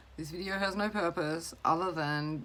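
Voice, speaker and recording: A woman's fairly low voice with an Australian accent, lively intonation and a fairly slow pace, over noticeable background noise. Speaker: mental health mentor. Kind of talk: casual vlog talk to camera. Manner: hesitant, rambling.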